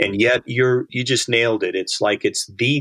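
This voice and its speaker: A man's voice comes through dry and close with no echo against a quiet background. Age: 60s. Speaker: author and disciple-making ministry leader. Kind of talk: casual interview.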